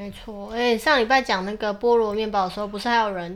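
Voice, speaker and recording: On a very clean recording with a silent background, a woman speaks at a very fast pace in a medium pitch with fairly even intonation. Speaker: podcast co-host, mother. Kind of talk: casual chat.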